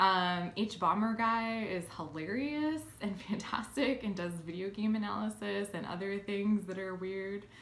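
At a fairly slow pace, a woman with an American accent speaks in a medium pitch with ordinary pitch variation, and room echo is audible. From Philadelphia, US. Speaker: YouTuber and game designer; YouTuber. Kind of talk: casual vlog. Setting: at home in new place. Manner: hesitant, many filler ums. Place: home room. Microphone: phone near.

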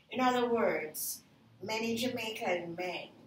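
Over light background noise and audible room echo, a woman talks at a fairly slow pace with ordinary pitch variation. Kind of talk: interview answer. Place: home room. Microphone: camera far.

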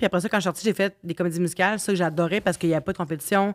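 Over a quiet background, the speech moves at a very fast pace. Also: woman. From Quebec. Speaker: singer and podcast host; podcast host. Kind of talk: casual chat. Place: home room. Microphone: studio mic.

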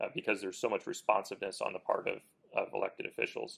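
Against a quiet background, a man with an American accent speaks very fast. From Kansas. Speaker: lawyer and interview host; interviewer, host. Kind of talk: interview. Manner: hesitant, many fillers and repeated words. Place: studio. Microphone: lapel.

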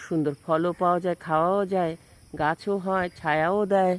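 Her fairly low voice stays monotone and flat, and the woman is recorded dry and close with no echo. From Bangladesh, Jessore. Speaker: vlogger. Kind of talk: casual vlog narration. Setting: outdoors.

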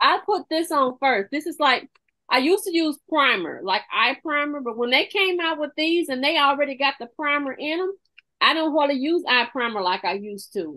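Speaking at a moderate pace, a woman sounds animated with a high pitch. Her intonation is lively. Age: 50s. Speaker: makeup consultant. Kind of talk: product demonstration. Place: home room. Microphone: webcam.

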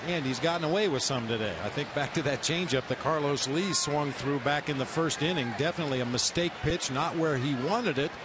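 The speaker moves at a fairly quick pace with ordinary pitch variation, over noticeable background noise. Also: man. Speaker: baseball color commentator, former player. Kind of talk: analytical live sports color commentary. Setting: broadcast booth at ballpark. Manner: relaxed, conversational, occasional fillers.

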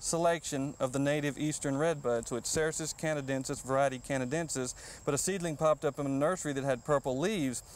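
With a Texan accent, a man talks very fast with hardly any pauses, fairly high in pitch with fairly even intonation, in a dry sound with no echo. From Texas. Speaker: horticulturist; guest. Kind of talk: gardening show interview. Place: garden. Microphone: lapel.

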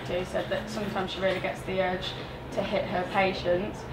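Loud background noise surrounds this recording. A woman speaks at a moderate pace. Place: home room. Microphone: handheld.

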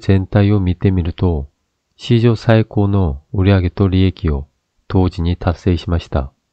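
Speaking in a Korean accent, a man keeps a fairly slow pace and a fairly low pitch with ordinary pitch variation. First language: Korean (speaking Japanese). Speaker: YouTube political commentator. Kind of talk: opinion commentary monologue.

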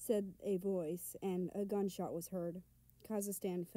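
Fairly even intonation in a natural reading voice

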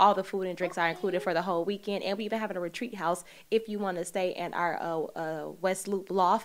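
A woman talks at a very fast pace with an American accent, hardly pausing. Her intonation stays fairly even. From Chicago. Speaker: podcast host. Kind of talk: interview. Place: studio. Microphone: studio mic.

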